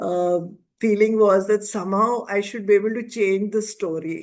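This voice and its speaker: Against a quiet background, a woman speaks at a medium pitch with fairly even intonation. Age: 60s. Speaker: life coach and author. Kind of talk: interview. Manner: hesitant fillers.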